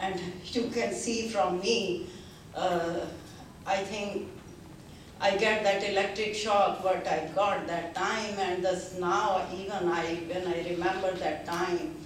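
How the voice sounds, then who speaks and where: A woman with an Indian accent and a medium pitch speaks very slowly with fairly even intonation. Noticeable background noise and audible room echo come through. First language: Hindi. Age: 70s. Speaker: seminar attendee giving testimony. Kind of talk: testimony speech. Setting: seminar with audience. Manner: halting, many fillers.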